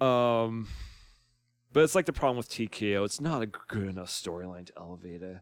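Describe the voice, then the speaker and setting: Lively intonation marks this man's medium-pitched voice. The recording is very clean, with a silent background. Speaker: YouTuber and musician. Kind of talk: casual commentary monologue. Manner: hesitant, many fillers.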